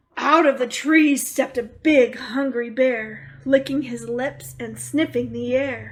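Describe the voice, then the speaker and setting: A woman bellows in a put-on character voice at a high pitch. She goes at a fairly slow pace with hardly any pauses. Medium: read story. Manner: bellowing, greedy.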